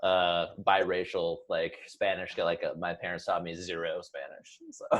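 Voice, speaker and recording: A man at a fairly slow pace, with big swings in loudness. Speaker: podcast host. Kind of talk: casual chat.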